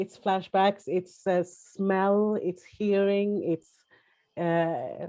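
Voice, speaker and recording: A woman speaks very slowly in a flat monotone. Her tone is dark and mellow. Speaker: prostitution survivor, panelist. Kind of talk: testimony. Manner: halting, many fillers and restarts.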